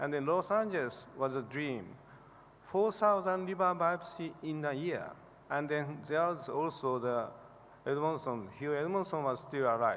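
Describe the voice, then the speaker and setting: Male speech, pitch shifting in an ordinary way, delivered at a moderate speed. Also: fairly high pitch for a man. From Japan. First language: Japanese. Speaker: liver specialist professor receiving award. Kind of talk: award acceptance speech. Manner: halting.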